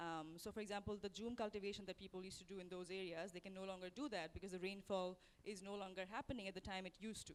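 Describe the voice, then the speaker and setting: A woman's medium-pitched voice at a very fast pace, with fairly even intonation and hardly any pauses. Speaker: panelist, journalist and researcher. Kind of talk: panel discussion.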